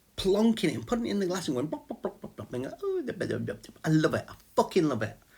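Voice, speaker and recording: Here is a man with an English accent. His tone is bright and sharp. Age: 50s. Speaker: vlogger and small business owner. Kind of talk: casual chat. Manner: rambling, halting with repetitions.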